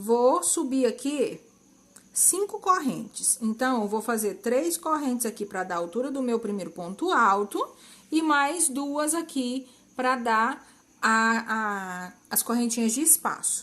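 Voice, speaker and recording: Speaking at a very slow pace, a woman uses a high voice and lively intonation. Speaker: crochet instructor. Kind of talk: tutorial.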